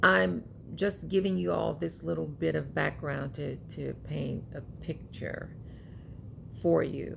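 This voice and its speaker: A woman speaks very slowly, with long, frequent pauses. Audible room echo surrounds her voice. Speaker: YouTuber, commentary vlogger. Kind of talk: casual monologue vlog.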